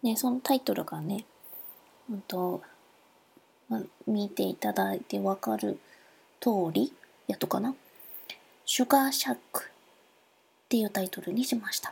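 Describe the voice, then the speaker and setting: A woman with a Nagasaki accent moves at a moderate pace, breaking it with long, frequent pauses. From Nagasaki, Japan. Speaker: podcaster. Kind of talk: solo podcast monologue. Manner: halting, many fillers.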